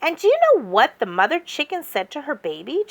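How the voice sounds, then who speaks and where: A female-sounding put-on character voice, high in pitch, moves at a fairly quick pace. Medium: read story. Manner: enthusiastic.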